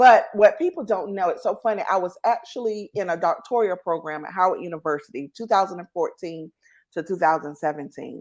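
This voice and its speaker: Speaking with a Southern US accent, a woman has a medium pitch and ordinary pitch variation at a fairly quick pace. Her loudness swings widely against a quiet background. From North Carolina, US South. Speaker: entrepreneur and show host, guest. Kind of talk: interview, casual chat.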